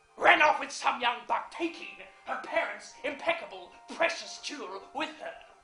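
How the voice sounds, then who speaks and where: In a put-on character voice with a high pitch, the speaker is heard with slight echo and faint music in the background. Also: moderate pace. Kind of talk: theatrical monologue. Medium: stage play. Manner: sly, relishing.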